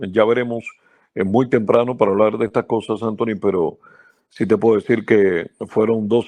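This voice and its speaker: A man speaks in a monotone, flat voice with fairly low pitch and a moderate pace. The sound is dry and close, with no echo and a quiet background. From central Cuba. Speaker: baseball radio announcer. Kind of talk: interview.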